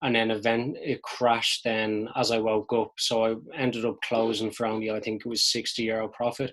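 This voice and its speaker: The speaker has a Dublin accent. The recording is very clean, with a silent background. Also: man. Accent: Irish (Dublin). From Dublin, Ireland. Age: 20s. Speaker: amateur forex trader. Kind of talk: casual talk to camera, trading recap.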